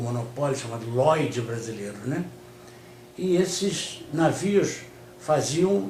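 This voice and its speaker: A man talks with lively intonation, and the room echo is audible. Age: 60s. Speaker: communist party leader. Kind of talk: interview. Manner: hesitant, many fillers.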